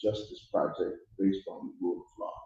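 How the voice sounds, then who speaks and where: At a fairly quick pace, a man speaks with audible room echo around him. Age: 70s. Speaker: pastor. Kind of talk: public speech at community town hall. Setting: community hall with audience. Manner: impassioned.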